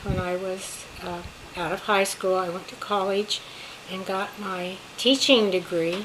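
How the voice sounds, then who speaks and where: Over noticeable background noise, a woman talks at a medium pitch with an American accent. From California. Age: 80s+. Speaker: retired teacher, grandmother. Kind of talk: family interview, personal history.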